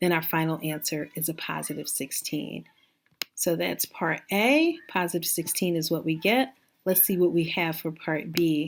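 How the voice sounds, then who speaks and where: This woman talks in a fairly low pitch with ordinary pitch variation. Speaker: math teacher. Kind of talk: tutorial. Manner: fast; casual, conversational.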